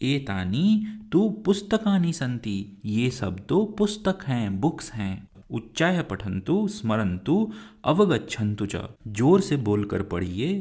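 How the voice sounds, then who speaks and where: A man speaks at a medium pitch with a dark, mellow, somewhat breathy tone and very wide pitch swings. The recording is very clean, with a silent background. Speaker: teacher. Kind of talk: lecture. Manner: slow, clear explanatory.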